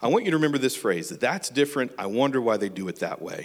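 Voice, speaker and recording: A voice with an American accent races along at a very fast pace, its pitch swinging very widely. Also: man. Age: 40s. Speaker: church member and teacher. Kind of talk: church talk. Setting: church.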